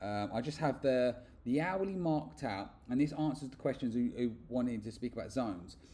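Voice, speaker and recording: With a British accent, the voice has a dark, mellow tone and lively intonation at a fairly quick pace. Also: man, medium pitch for a man. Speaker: forex trader and trading educator. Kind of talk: screen-share tutorial. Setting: away from home, makeshift recording. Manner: fast; hesitant, with repeated words and fillers. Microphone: poor audio, makeshift mic setup.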